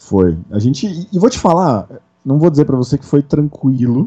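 An animated man at a moderate pace, his pitch fairly high for a man. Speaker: RPG event coordinator. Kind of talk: casual chat.

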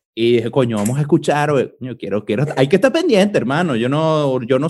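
A man with a Venezuelan accent speaks at a very fast pace with lively intonation and a fairly high pitch. The recording is very clean, with a silent background. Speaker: podcast host. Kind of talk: casual chat.

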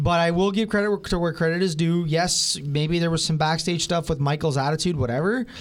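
Against noticeable background noise, a man talks at a high pitch with ordinary pitch variation and very even loudness. His pace is fairly quick, with hardly any pauses. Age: 20s. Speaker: wrestling fan guest. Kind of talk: casual review chat. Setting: radio studio.

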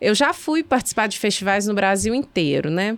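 Against a silent background in a very clean recording, a woman talks at a fairly quick pace in an ordinary speaking voice. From Belo Horizonte, Minas Gerais. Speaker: arts festival co-founder. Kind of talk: casual chat.

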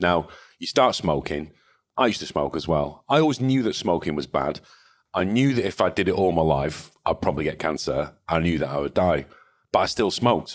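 The voice carries a Mancunian accent at a fairly quick pace, with very wide pitch swings. The recording is very clean with a silent background. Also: man, very deep, low pitch for a man. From northern England, Salford/Manchester. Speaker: cybersecurity company founder and CEO. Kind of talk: interview conversation. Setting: in-person recording, same room.

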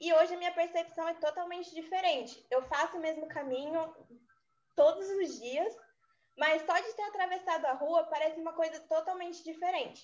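The woman's pitch is extremely high. Her intonation stays fairly even. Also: moderate pace. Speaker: architecture student. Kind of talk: student podcast presentation.

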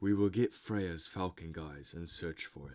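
A man puts on a character voice with a very deep, low pitch. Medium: read story. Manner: sly.

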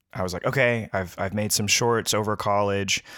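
A man with fairly even intonation. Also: very clean recording, silent background. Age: 30s. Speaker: filmmaker and musician. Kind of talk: casual chat.

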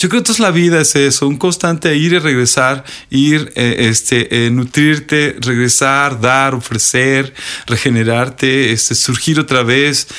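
Speaking at a fairly slow pace, a man with a bright, sharp tone keeps a medium pitch, ordinary pitch variation and very even loudness. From Mexico, Sierra de Puebla. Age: 40s. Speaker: high school teacher. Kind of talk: classroom talk; interview. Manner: halting, many fillers.

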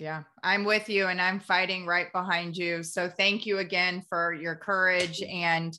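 A woman speaks at a fairly slow pace with hardly any pauses. Her medium-pitched voice has a bright, sharp tone and a monotone, flat intonation. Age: 40s. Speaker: podcast host. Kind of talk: interview.

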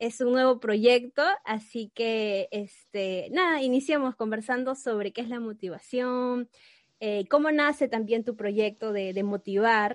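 In a dry, close sound with no echo, a woman with a fairly high pitch talks fairly slowly with ordinary pitch variation. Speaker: podcast host. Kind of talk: casual chat.

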